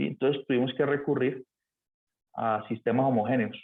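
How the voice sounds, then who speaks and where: This man's voice sits at a medium pitch and keeps a monotone, flat intonation. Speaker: math teacher. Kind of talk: lecture. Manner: fast.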